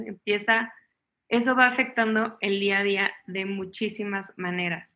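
A woman speaks at medium pitch in a bright, sharp tone with monotone, flat intonation. The recording is very clean, with a silent background. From Mexico, Chihuahua. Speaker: chef and family sciences student. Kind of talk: conference interview.

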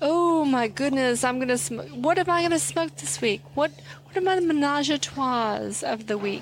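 Over noticeable background noise, a woman speaks at a moderate pace with an American accent. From Texas. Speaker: podcast co-host. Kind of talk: casual chat.

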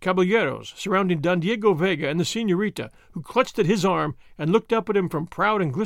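Heard here is a natural reading voice whose pitch varies in an ordinary way.

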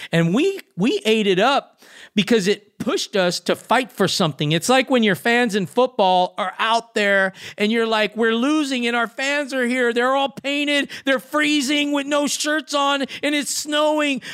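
In a very clean recording with a silent background, a man with an extremely high pitch and lively intonation speaks at a fairly slow pace with hardly any pauses. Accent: Southern California. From Los Angeles, California. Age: 50s. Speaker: professional skateboarder. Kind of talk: interview. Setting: podcast.

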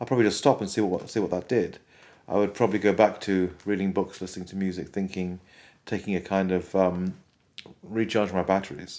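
A man with a very deep, low pitch and a Welsh accent talks at a fairly quick pace. His tone is dark and mellow, his intonation fairly even, on a very clean recording with a silent background. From Wales. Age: 50s. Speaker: composer. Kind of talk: interview.

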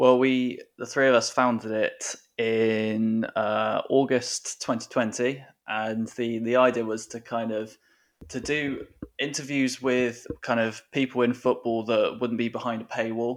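A man with an English accent speaks at medium pitch and a fairly slow pace, in a monotone, flat intonation over a quiet background. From England. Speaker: football writer and author. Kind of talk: casual interview chat.

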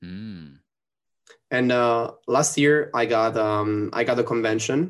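A man with an Italian accent talks at a medium pitch with ordinary pitch variation. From Italy. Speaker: cosplayer and wrestler. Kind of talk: casual chat. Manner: animated.

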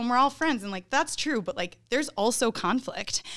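A woman speaks with lively intonation on a very clean recording over a silent background. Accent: Midwestern US. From Northern Illinois. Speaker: band singer and guitarist. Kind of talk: casual interview chat.

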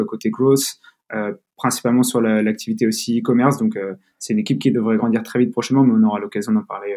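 A man's medium-pitched voice with a dark, mellow tone and fairly even intonation. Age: 20s. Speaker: growth manager at a health tech startup. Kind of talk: interview. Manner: halting, many fillers and repetitions.

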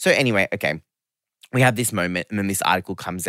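A man with an Australian accent speaks with a bright, sharp tone and lively intonation. The recording is very clean, with a silent background and a dry, close sound with no echo. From Australia, Geelong, Victoria. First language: not English (family background Serbian/Romanian). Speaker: fashion media creative, former magazine staffer. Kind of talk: casual interview chat.

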